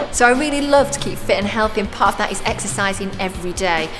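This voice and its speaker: Lively intonation and a very fast pace carry the speech, with music playing in the background. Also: woman. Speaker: TV presenter. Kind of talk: presenter talk to camera.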